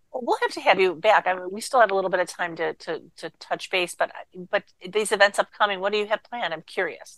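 Her pace is very fast, with ordinary pitch variation. The woman's voice sounds dry and close, with no echo. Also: medium pitch for a woman. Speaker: radio host. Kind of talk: radio interview.

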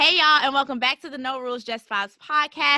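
With a raised, projected voice, a woman speaks at a fairly quick pace in a high pitch, her tone bright and sharp and her intonation fairly even. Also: dry, close sound with no echo. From Birmingham, Alabama, US South. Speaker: podcast host. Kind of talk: casual chat; scripted intro.

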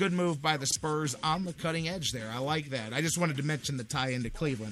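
With music in the background, a fairly high-pitched man sounds animated, his intonation lively. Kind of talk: radio DJ patter, live sports-talk promo. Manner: animated, fast, punchy, hype-driven.

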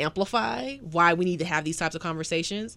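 Recorded very cleanly with a silent background, a woman speaks at a fairly low pitch. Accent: Southern US. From US South. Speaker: podcast host and professor. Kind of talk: casual interview.

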